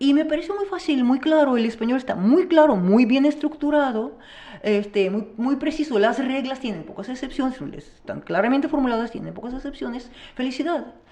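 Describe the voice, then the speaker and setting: A woman's high voice with lively intonation at a moderate pace, over noticeable background noise. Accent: Russian. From Russia. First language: Russian (speaking Spanish). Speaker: teacher. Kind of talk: interview. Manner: halting.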